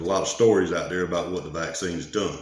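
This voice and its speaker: A man with a Southern US accent speaks at a very deep, low pitch with ordinary pitch variation. Audible room echo surrounds his voice. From US South. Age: 40s. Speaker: vlogger. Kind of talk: personal vlog monologue. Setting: garage. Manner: casual.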